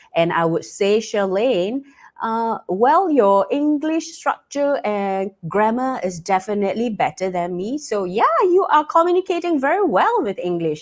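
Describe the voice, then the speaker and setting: Speaking with a Cantonese accent, a woman's fairly high voice swings very widely in pitch. She goes at a fairly slow pace with hardly any pauses. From Malaysia. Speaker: talk show host. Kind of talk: live online talk show. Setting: live stream broadcast. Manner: frequent filler words and repetitions.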